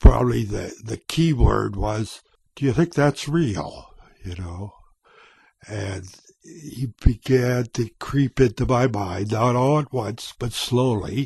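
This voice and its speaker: This man talks at a very slow pace, medium in pitch and somewhat breathy, with ordinary pitch variation. His loudness swings widely, and the sound is dry and close with no echo. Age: 70s. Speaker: vlogger. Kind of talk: personal testimony. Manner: halting.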